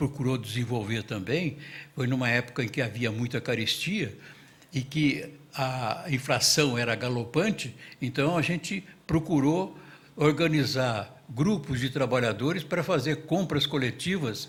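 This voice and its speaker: At a fairly slow pace, a somewhat breathy man with a medium pitch speaks with ordinary pitch variation. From Brazil, São Paulo state (Casa Branca). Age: 80s+. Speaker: witness at public truth commission hearing. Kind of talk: testimony. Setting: public hearing in municipal chamber.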